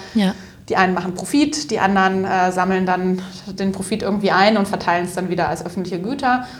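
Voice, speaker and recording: A woman at a very fast pace, medium in pitch with ordinary pitch variation, with audible room echo and noticeable background noise. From Upper Franconia, northern Bavaria. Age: 30s. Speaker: social entrepreneur, company co-founder. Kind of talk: interview.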